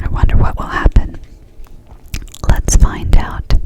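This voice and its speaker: Whispering from a woman against noticeable background noise. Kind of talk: whispered ASMR storybook reading. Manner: whispered, soft, slow.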